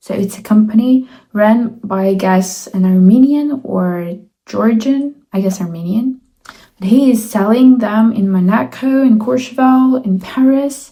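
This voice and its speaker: Somewhat breathy and dark, mellow in tone, a woman's fairly high voice moves at a fairly slow pace with ordinary pitch variation. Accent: Russian. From Russia. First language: Russian. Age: 20s. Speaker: student. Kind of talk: casual talk to camera.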